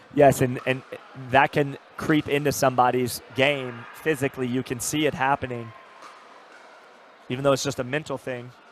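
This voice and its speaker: With noticeable background noise, a man speaks in an animated tone at medium pitch and a moderate pace, leaving long, frequent pauses. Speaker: pickleball commentator. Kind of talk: live sports commentary. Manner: animated, repetitive fillers.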